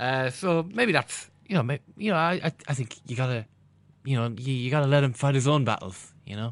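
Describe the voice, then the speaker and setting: Over a quiet background, a man with an Irish accent speaks at a fairly high pitch. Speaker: football podcast co-host. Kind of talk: casual chat.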